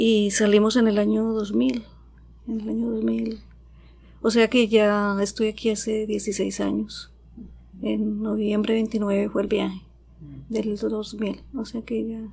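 Very slow and marked by long, frequent pauses, a woman speaks. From Colombia, Antioquia. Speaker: psychologist and acupuncturist. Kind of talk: interview. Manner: halting.

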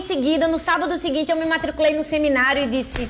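With noticeable background noise and audible room echo, a woman speaks at a high pitch. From Northeast Brazil. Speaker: pastor. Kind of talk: casual chat.

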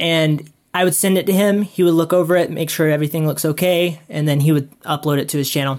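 The speech comes at a very fast pace with hardly any pauses, in an American accent. The recording is very clean with a silent background. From South Carolina. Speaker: video creator and vlogger. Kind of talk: casual interview chat. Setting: podcast interview.

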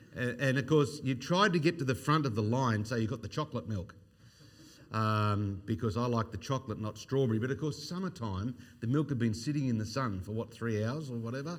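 A man's voice with an Australian accent and ordinary pitch variation. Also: medium pitch for a man, fairly quick pace. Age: 50s. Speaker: evangelist. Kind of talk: sermon.

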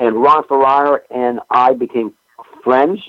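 Fairly even intonation with a New England accent. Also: man. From New England, Springfield, Massachusetts. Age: 70s. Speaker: pro wrestling historian. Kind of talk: casual chat.

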